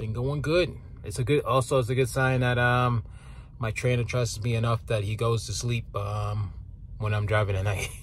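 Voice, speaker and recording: A man at a moderate pace with ordinary pitch variation, over light background noise. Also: dry sound with no echo. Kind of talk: casual vlog chat. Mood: upbeat, relaxed. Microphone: phone near.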